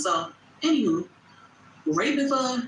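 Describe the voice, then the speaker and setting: A loud woman's voice with very wide pitch swings over noticeable background noise. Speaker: content creator. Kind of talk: livestream chat. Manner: animated.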